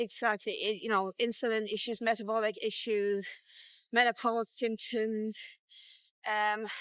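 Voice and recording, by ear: A woman speaks at a fairly slow pace with a fairly high pitch, a clear, smooth, fairly bright tone and little pitch movement.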